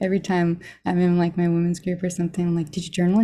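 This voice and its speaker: At a very fast pace, a woman speaks in a fairly low pitch with a dark, mellow tone and a somewhat breathy quality. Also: very clean recording, silent background. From Arizona. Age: 30s. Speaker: chronic pain recovery interviewee. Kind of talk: testimony.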